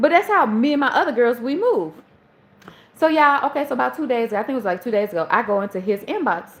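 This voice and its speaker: A woman's high, animated voice with a Southern accent and very wide pitch swings. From US South, Charleston. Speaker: livestream host. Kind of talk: casual storytelling. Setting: live stream.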